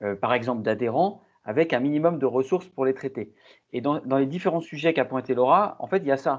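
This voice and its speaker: Over a quiet background, a man at a medium pitch talks at a fairly quick pace with ordinary pitch variation. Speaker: workshop moderator. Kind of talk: online workshop presentation. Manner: fast.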